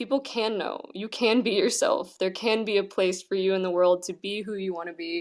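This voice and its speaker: A shaky voice at a moderate pace, with fairly even intonation and hardly any pauses. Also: woman, medium pitch for a woman. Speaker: actor and singer. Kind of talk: casual chat.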